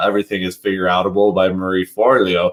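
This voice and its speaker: This is a man talking. He goes at a fairly quick pace. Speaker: vlogger and podcast host. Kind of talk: casual monologue vlog. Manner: loud; filler-heavy, many ums.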